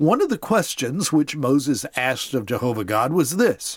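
Very wide pitch swings and vocal fry mark this fairly slow delivery, captured in a very clean recording with a silent background. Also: man. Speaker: podcast host retelling Bible stories. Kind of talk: informal scripted narration. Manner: informal storytelling.

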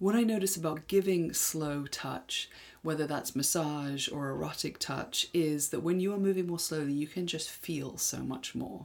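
In an English accent, a woman with a very deep, low pitch talks at a moderate pace with hardly any pauses and ordinary pitch variation. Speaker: sex educator podcast co-host. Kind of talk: casual educational chat.

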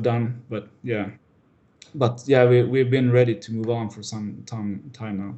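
Somewhat breathy, a man speaks at a medium pitch. His intonation is monotone and flat. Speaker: filmmaker and 3D artist. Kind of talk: interview chat. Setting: Skype call. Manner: hesitant, many fillers.

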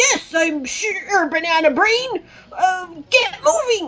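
Delivered at a very slow pace, this put-on character voice sits at an extremely high pitch. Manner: bossy and commanding.

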